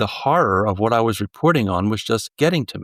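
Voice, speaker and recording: In a New Jersey accent, a man speaks with a dry, close sound and no echo. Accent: American, New Jersey. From US Northeast, southern New Jersey. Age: 70s. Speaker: journalist and author. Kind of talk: interview conversation. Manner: halting, many fillers and restarts.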